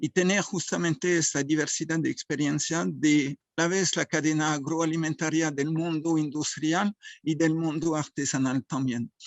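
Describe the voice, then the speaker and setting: Fairly high for a man, his voice moves at a fairly slow pace with hardly any pauses, very even loudness and fairly even intonation. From France. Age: 60s. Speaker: association president and food engineer. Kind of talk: forum talk. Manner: halting.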